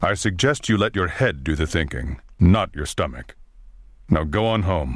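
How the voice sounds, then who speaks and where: A man puts on a character voice, pitched very deep and low, speaking at a moderate pace. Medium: video game. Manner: formal, measured.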